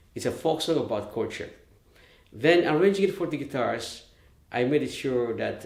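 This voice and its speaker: Vocal fry runs through a man's lively intonation. The room echo is audible. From Philippines, Leyte (Visayas). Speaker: musician and arranger. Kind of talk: artist talk. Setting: video call. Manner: halting.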